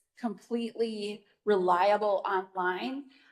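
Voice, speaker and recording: A woman has an unremarkable speaking voice at a medium pitch. Her intonation stays fairly even. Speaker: parenting educator. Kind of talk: virtual presentation; Q&A answer.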